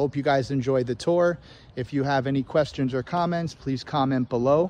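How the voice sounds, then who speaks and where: A man's fairly high voice, a normal speaking voice, with ordinary pitch variation at a moderate pace against a quiet background. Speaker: real estate agent. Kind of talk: home tour vlog. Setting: outdoors; open house, walking through a home. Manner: casual, conversational. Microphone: iPhone on a gimbal.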